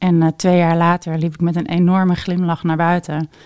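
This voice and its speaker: A plain, everyday voice, a woman's, fairly low in pitch, at a moderate pace. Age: 40s. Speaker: intuitive coach and reader. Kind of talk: casual interview.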